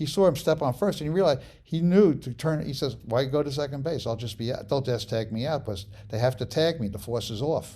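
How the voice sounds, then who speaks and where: A man's medium-pitched voice sounds dark, mellow and somewhat breathy, with lively intonation. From New York City, the Bronx. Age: 70s. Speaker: sports photographer. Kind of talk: interview. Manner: halting.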